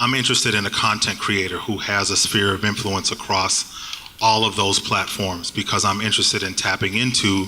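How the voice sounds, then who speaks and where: With a slight Boston accent, a man speaks at a fairly quick pace in a fairly low pitch, his intonation monotone and flat and his loudness very even, while background noise is noticeable. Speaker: digital marketing agency panelist. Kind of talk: panel discussion. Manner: halting.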